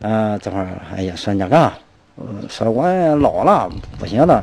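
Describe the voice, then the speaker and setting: His pitch ranges very widely as a man speaks at a moderate pace. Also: dry sound with no echo. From Shandong. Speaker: villager, grandson of martial artist. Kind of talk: interview reminiscence. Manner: halting. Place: street. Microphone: handheld.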